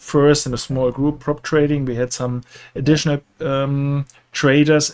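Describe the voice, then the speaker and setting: In a German accent, a man with a fairly high pitch speaks with fairly even intonation, on a very clean recording with a silent background and a dry, close sound with no echo. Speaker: professional trader. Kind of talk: casual chat. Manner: halting.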